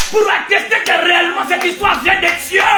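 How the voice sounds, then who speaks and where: Shouting in a raised, projected voice at an extremely high pitch, a man is heard through audible room echo and noticeable background noise. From Africa. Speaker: preacher. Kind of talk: sermon. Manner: loud, shouting; animated.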